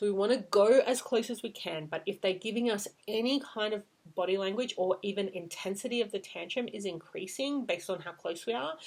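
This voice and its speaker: At a fairly quick pace, a woman with a medium pitch speaks in a plain, everyday voice with ordinary pitch variation. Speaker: parenting coach. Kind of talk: tutorial.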